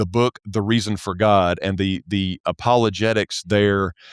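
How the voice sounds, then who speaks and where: A man in a Southern US accent at a fairly slow pace, his intonation fairly even, on a very clean recording with a silent background. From US South. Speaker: church accounting specialist. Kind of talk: podcast interview. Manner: halting, many repetitions and fillers.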